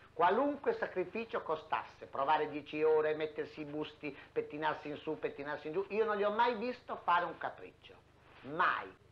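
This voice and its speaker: With lively intonation, a man speaks at a moderate pace and a high pitch. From Emilia-Romagna, Italy (Reggio Emilia province); Emilia-Romagna, Italy. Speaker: theatre costume maker. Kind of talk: interview reminiscence. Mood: warm, fond reminiscence. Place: home room.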